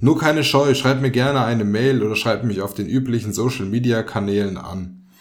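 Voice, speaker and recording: A man with a plain, everyday voice talks at a moderate pace at medium pitch, with ordinary pitch variation. The recording is very clean, with a silent background. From Germany, Fulda (Hesse). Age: 20s. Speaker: podcast host. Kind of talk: scripted podcast intro monologue. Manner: casual, joking.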